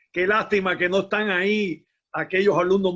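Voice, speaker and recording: This man has a bright, sharp tone and a Cuban accent. He talks at a fairly slow pace. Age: 60s. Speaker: musician and former teacher. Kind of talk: conference talk, casual exchange. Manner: halting.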